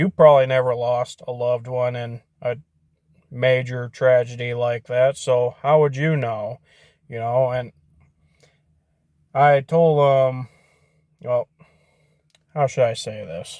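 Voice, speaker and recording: With a Michigan accent, a man talks at a very slow pace with long, frequent pauses, medium pitch, fairly even intonation and big swings in loudness, in a dry, close sound with no echo. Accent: Midwestern US (Michigan). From Michigan (Portage area). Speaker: YouTuber vlogger. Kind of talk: casual vlog monologue.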